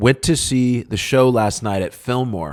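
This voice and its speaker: At a very slow pace, a man talks in a very clean recording with a silent background. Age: 40s. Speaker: punk rock musician and podcast host. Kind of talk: casual podcast answering listener questions. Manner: casual, frequent filler words.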